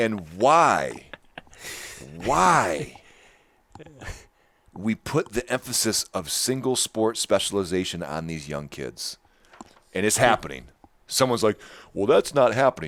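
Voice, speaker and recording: A man with an animated tone and vocal fry speaks at a medium pitch, his pitch swinging very widely. He goes at a fairly slow pace with long, frequent pauses, in a dry, close sound with no echo. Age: 40s. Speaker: fitness podcast host. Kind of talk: casual chat.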